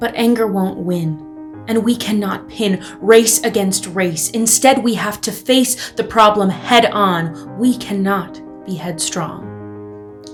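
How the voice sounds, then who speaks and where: A passionate, very slow delivery in an American accent with hardly any pauses, over music in the background. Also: woman. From United States. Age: young. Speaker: spoken word performer. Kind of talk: theatrical spoken word protest piece. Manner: passionate, rhythmic, emphatic.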